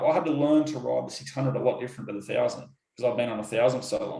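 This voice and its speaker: There is audible room echo around a man whose voice is somewhat breathy. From Australia, Sydney. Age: 30s. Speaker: motorcycle racer. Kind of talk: interview. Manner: halting.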